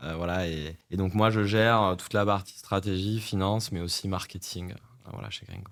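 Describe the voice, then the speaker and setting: This man has an ordinary speaking voice, fairly low in pitch, with fairly even intonation. He keeps a moderate pace with hardly any pauses, and his loudness swings widely. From France, Corrèze. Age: 30s. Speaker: startup CEO. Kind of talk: podcast interview.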